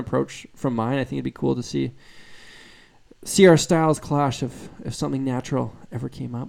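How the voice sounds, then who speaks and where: Over a silent background in a very clean recording, a man with a fairly high pitch speaks in a dark, mellow, relaxed tone. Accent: slight Canadian. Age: 20s. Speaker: guitarist and YouTuber. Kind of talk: live stream Q&A chat. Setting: live stream. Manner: casual, relaxed.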